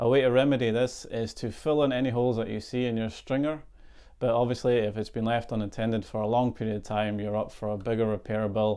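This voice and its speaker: Talking at a very fast pace, a man in a Scottish accent keeps a medium pitch and fairly even intonation. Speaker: boat surveyor. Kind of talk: tutorial.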